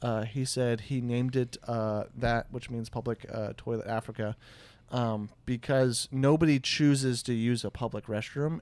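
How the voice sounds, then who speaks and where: A man with a Midwestern American accent speaks at a moderate pace, with fairly even intonation and a medium pitch. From US Midwest. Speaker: podcast host. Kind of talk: casual chat. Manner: halting, many fillers.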